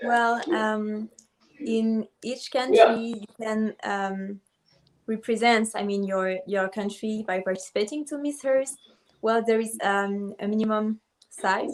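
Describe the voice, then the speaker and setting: Her French accent clear, a woman speaks very slowly in a fairly high pitch with fairly even intonation. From Ivory Coast. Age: 20s. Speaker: beauty pageant contestant. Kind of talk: video call interview. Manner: halting.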